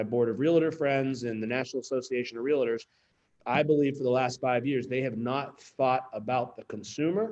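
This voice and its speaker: Moderate pace and ordinary pitch variation, with a slight Pittsburgh accent. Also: man. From Pittsburgh, Pennsylvania. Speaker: real estate company executive. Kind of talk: town hall speech. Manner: animated.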